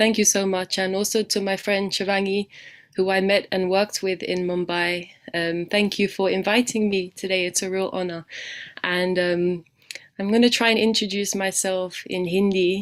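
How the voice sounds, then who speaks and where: A woman's medium-pitched voice in a monotone, flat intonation at a moderate pace. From UK. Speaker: guest speaker, youth program manager. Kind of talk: web talk presentation. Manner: hesitant, many fillers.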